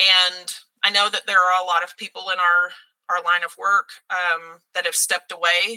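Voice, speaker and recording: A woman speaks at a moderate pace in a Texan accent, her medium-pitched voice bright and sharp in tone. Her intonation is monotone and flat, and the sound is dry and close with no echo. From Texas (Mesquite, Dallas area). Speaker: theater teacher. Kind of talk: casual interview.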